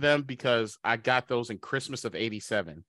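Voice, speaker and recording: A man speaks at a fairly quick pace in a bright, sharp tone that sounds animated and upbeat. The recording is very clean, with a silent background. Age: 40s. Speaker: cybersecurity company CEO. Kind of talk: casual interview chat. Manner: animated, upbeat.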